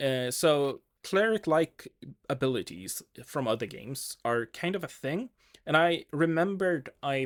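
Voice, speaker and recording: Recorded dry and close with no echo against a silent background, a man with a Swedish accent talks in a fairly high pitch. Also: lively intonation, fairly slow pace. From Sweden. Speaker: game designer vlogger. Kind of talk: casual thinking-aloud video diary. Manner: hesitant, many fillers.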